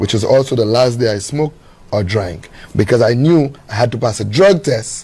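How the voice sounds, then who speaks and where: A man with a Saint Lucian accent speaks at medium pitch and a moderate pace, with lively intonation. Noticeable background noise can be heard. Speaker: guest telling his life story. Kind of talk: interview conversation.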